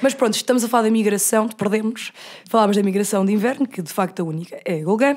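On a very clean recording with a silent background, a woman talks at a very fast pace in a fairly high-pitched, animated tone. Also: ordinary pitch variation. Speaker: podcast host. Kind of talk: casual chat.

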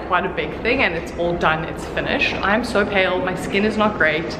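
A woman talks at a fairly quick pace with ordinary pitch variation. Noticeable background noise runs behind her. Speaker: vlogger. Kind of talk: casual vlog chat. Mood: a little stressed, self-conscious. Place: empty room. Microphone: phone near.

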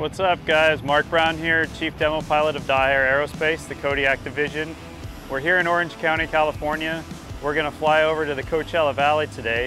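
A man at a fairly quick pace in a monotone, flat intonation, with a dry sound, no echo, and clear music in the background. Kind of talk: casual vlog chat. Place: street.

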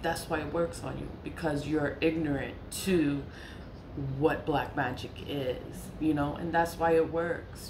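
A woman's very deep, low voice with an American accent, monotone and flat, over noticeable background noise. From New York. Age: 40s. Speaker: spiritual content creator. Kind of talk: casual monologue. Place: home room. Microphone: phone near.

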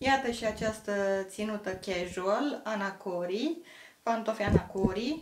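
With noticeable background noise behind her, a woman speaks at a fairly slow pace with a fairly high pitch and ordinary pitch variation. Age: 40s. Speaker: fashion vlogger. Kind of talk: fashion haul vlog. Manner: enthusiastic. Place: home room. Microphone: camera far.

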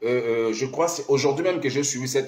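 A man speaks in an animated tone with ordinary pitch variation against a quiet background. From Congo-Brazzaville. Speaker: pastor and diaspora live streamer; pastor, diaspora live streamer. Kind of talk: improvised political live stream monologue. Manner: animated, repetitive exhortations. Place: office. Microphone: phone near.

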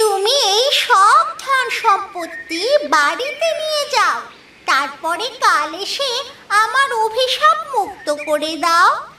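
An extremely high cartoonish character voice speaks at a fairly slow pace. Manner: mysterious, persuasive.

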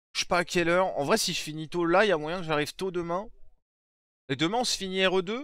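A man's high voice, very fast, with long, frequent pauses and ordinary pitch variation, in a dry sound with no echo over a quiet background. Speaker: streamer. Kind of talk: live stream reaction chat. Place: home room. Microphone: headset.

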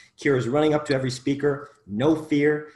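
Audible room echo surrounds a man with an American accent. His pitch is fairly high, with ordinary variation. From US Midwest, Chicago suburbs. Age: 30s. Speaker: podcast host, mind coach. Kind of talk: casual chat. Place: home room. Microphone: video call.

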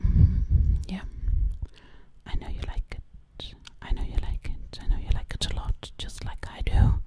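In a put-on character voice, the speaker whispers breathily at a moderate pace, leaving long, frequent pauses. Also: woman. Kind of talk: ASMR role play. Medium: role play. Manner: whispered, breathy; sassy.

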